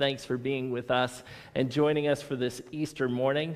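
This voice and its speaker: A man speaks at a fairly slow pace. His intonation stays fairly even over a quiet background. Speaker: pastor. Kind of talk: church welcome and announcements. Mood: cheerful, welcoming. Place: church.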